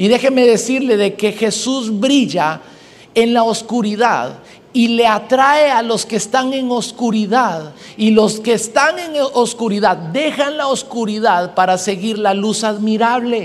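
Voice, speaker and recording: A man with a high voice speaks at a fairly slow pace, with ordinary pitch variation and an animated tone. There is audible room echo. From Guatemala. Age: 20s. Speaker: pastor. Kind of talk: sermon.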